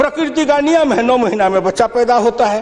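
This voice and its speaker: Noticeable background noise sits behind a man with a Bihari accent whose voice is extremely high-pitched. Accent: rustic Bihari. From Bihar, India. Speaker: politician, member of parliament. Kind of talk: parliamentary speech. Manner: witty, humorous.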